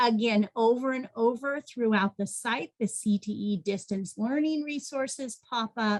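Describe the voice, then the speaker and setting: This woman's fairly high, somewhat breathy voice moves at a very slow pace with ordinary pitch variation. The sound is dry and close, with no echo. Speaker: education program coordinator. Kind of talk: webinar presentation.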